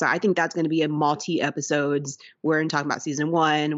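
Here a woman speaks at a very deep, low pitch. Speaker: podcast co-host, art teacher. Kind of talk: casual chat.

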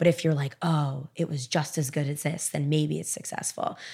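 Her voice very deep and low, a woman talks at a fairly quick pace with vocal fry and fairly even intonation on a very clean recording with a silent background. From Miami. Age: 20s. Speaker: author. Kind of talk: casual chat.

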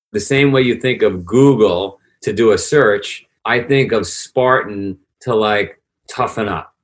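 Here a man speaks with a New York accent. His pace is fairly slow. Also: medium pitch for a man, ordinary pitch variation. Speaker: fitness entrepreneur. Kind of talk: interview conversation.

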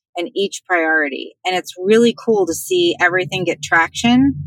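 A woman speaks in an ordinary speaking voice at medium pitch and a moderate pace with ordinary pitch variation, the sound dry and close with no echo. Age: 50s. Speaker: professional organizer. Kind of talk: interview.

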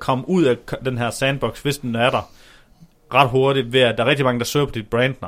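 A man speaks at a medium pitch. His pace is moderate and his intonation fairly even. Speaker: podcast co-host on SEO. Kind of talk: casual chat. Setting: shared office, separate mics across room. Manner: loud, almost shouting across room.

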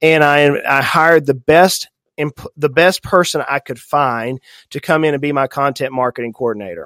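A man's fairly high voice with a slight Southern US accent, at a moderate pace with ordinary pitch variation, in a dry, close sound with no echo and a very clean recording over a silent background. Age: 40s. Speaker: financial advisor. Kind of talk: podcast interview. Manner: animated.

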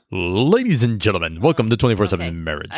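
A man puts on a booming character voice at a fairly low pitch. He talks at a moderate pace with lively intonation. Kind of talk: announcer.

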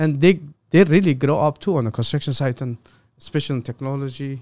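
Recorded very cleanly against a silent background with a dry, close sound and no echo, a man speaks fairly quickly at a fairly high pitch with ordinary pitch variation. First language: not English. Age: 40s. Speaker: construction company president. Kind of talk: interview. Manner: halting.

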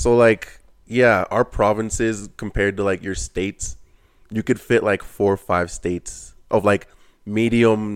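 A man with a Canadian accent and a plain, everyday voice, fairly low in pitch, at a fairly slow pace, on a very clean recording with a silent background. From Canada, Ontario. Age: 20s. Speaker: apprentice tradesman. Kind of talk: casual chat.

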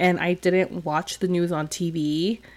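A woman speaks in an unremarkable speaking voice at a fairly slow pace. Her pitch is fairly low and her intonation fairly even. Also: very clean recording, silent background. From California. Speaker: podcast co-host. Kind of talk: casual chat.

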